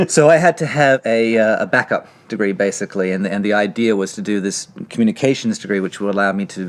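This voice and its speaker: The speaker has a slight Australian accent and talks at a fairly quick pace. Pitch variation is ordinary. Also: man. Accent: slight Australian lilt. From Australia, Sydney. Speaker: screenwriter. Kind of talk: interview. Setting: library.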